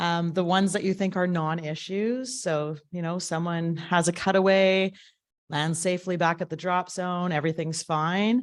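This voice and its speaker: Her medium-pitched voice moves at a moderate pace with ordinary pitch variation, and this woman is heard in a very clean recording with a silent background. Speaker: safety committee presenter. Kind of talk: meeting report presentation. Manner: loud.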